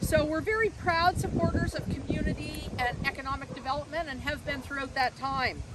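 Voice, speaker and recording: Over noticeable background noise, a woman talks loudly in a high pitch at a fairly quick pace with hardly any pauses. Her pitch varies in an ordinary way. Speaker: conference center executive. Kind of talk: public speech at outdoor event. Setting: outdoors at event site.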